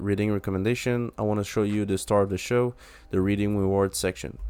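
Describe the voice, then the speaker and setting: A man speaks with a French accent at a fairly low pitch. His intonation stays fairly even. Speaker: app developer. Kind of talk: software demo tutorial. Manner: halting, many fillers.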